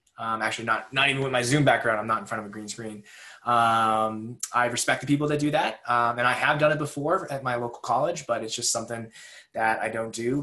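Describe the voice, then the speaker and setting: His tone is bright and sharp. The man speaks with an American accent. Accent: Boston, comes out occasionally. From New England, near Boston. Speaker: research meteorologist. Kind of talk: webinar presentation. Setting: recorded at home over video call. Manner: frequent filler words, casual.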